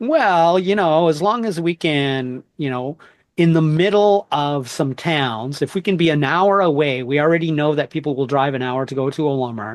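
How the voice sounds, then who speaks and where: Against a quiet background, an unremarkable speaking voice moves at a moderate pace with ordinary pitch variation and hardly any pauses. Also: man, fairly high pitch for a man. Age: 50s. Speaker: podcast host. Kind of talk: interview conversation.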